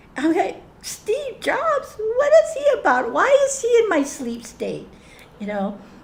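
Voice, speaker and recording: A woman speaks at a very slow pace with big swings in loudness. Audible room echo and noticeable background noise fill the recording. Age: 70s. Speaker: spiritual group facilitator. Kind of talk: group sharing session. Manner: halting, many restarts and fillers.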